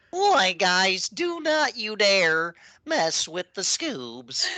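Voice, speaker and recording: Against a quiet background, a female-sounding voice at medium pitch performs a put-on character voice at a very slow pace, its pitch swinging very widely. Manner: goofy, cartoonish.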